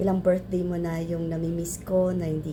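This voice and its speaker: A woman speaks at a moderate pace, with audible room echo in the recording. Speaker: hospital worker, friend giving birthday greeting. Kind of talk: recorded birthday message.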